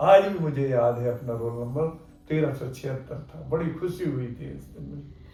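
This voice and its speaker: Amid noticeable background noise, a man at a medium pitch speaks with lively intonation and big swings in loudness. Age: 70s. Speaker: orthopedic doctor. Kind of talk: interview.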